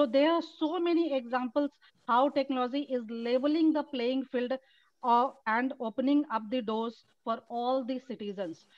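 A woman with an Indian accent speaks at a moderate pace and a high pitch, with ordinary pitch variation, against a quiet background. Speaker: event organizer. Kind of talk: welcome speech. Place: home room. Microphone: video call.

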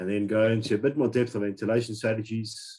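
Against a quiet background, a man speaks at a fairly low pitch with a dark, mellow tone. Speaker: healthcare facility design expert. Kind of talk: lecture. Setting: video call. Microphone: video call.

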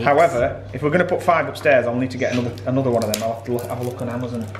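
A man races along at a very fast pace, with noticeable background noise in the recording. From England. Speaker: vlogger. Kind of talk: casual vlog talk. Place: home room. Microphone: phone near.

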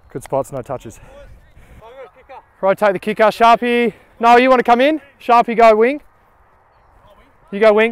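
The sound is dry with no echo as a man talks at a moderate pace with ordinary pitch variation and long, frequent pauses. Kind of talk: on-field calls and banter. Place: open country. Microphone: lapel.

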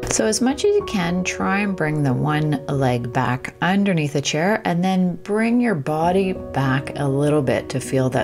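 A woman's very deep, low voice over clear music in the background. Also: fairly slow pace. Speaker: fitness instructor. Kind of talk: tutorial. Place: home room.

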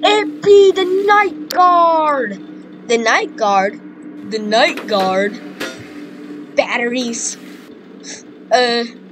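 Putting on a character voice, a woman sings her lines in a sing-song, high-pitched way with very wide pitch swings, a very slow pace and long, frequent pauses over music in the background. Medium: machinima. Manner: menacing, singsong.

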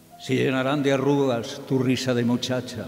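A man talks at a fairly slow pace with a fairly high pitch. Faint music plays in the background. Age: old. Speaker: radio broadcaster; journalist. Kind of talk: poetry reading. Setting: theatre recital with choir accompaniment. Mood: tender, nostalgic. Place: stage. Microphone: podium.

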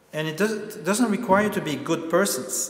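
At a moderate pace and with ordinary pitch variation, the voice carries audible room echo. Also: man. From Belgium. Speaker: lecturer and activist; lecturer. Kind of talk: lecture. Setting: stage with audience. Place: hall. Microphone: lapel.

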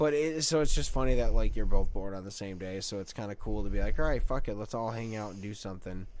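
With audible room echo, a man speaks at a very fast pace. He leaves hardly any pauses. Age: 30s. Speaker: podcast co-host. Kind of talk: casual chat.

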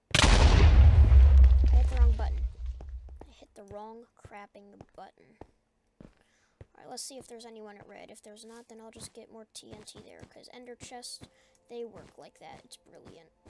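A man talks with long, frequent pauses and big swings in loudness over noticeable background noise. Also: moderate pace, dry sound with no echo. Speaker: gaming YouTuber. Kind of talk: gameplay commentary. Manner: animated.

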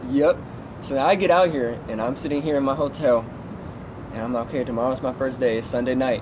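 Against noticeable background noise, a speaker with an American accent talks at a fairly quick pace with ordinary pitch variation. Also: man. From Southern California. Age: 20s. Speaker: truck driver; guest. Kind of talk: interview. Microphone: phone near.

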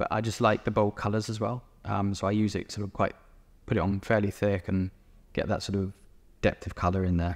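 Talking at a fairly quick pace in a southern English accent, a man with a fairly low pitch keeps a monotone, flat intonation. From England, East Sussex; England. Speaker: painter. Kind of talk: interview; interview answer. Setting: gallery exhibition. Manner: hesitant, many fillers. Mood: relaxed, friendly. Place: hall.

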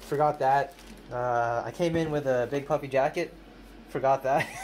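A man speaks at a fairly slow pace with ordinary pitch variation over light background noise. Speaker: music creator vlogger. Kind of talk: casual vlog chat. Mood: playful, upbeat. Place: booth. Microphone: phone near.

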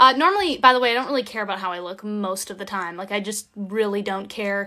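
Raised and projected, a woman's voice comes through bright and sharp over a quiet background. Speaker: voice actor hosting a signing livestream. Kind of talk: casual livestream chat. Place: home room. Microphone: phone near.

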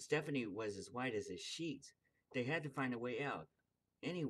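Quiet background, plain reading aloud

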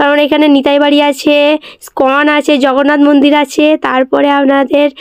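A woman speaks at a high pitch. The sound is dry and close with no echo. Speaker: travel vlogger. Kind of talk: travel vlog narration.

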